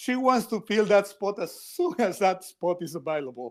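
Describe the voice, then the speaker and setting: Speaking with a Spanish accent, a man keeps a moderate pace and ordinary pitch variation. The recording is very clean, with a silent background. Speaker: editorial cartoonist. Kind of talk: podcast interview. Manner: halting, repeats words.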